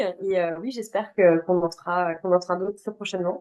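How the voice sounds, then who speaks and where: Fairly quick delivery from a woman, her pitch varying in an ordinary way. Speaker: hospitality IT consultant. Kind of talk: webinar closing remarks. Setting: video call webinar. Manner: hesitant, many fillers.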